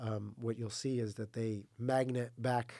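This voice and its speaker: An American accent marks this man's fairly slow speech, dark and mellow in tone, with monotone, flat intonation. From US, New Mexico. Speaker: smart building consultant. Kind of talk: podcast interview. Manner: many fillers and repetitions.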